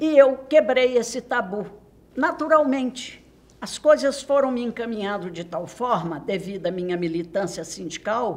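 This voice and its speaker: Over noticeable background noise, a woman speaks at a fairly slow pace in a fairly high voice, with very wide pitch swings and big swings in loudness. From Minas Gerais, Brazil (Santo Antônio do Monte). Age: 80s+. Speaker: retired journalist. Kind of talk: oral history interview. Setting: university studio. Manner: formal.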